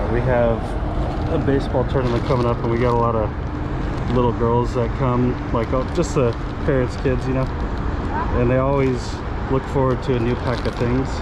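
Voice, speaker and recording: Dry sound with no echo, a man at a fairly quick pace, loud background noise. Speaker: reseller picking items at a flea market. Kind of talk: casual vlog chat. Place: market. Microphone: phone near.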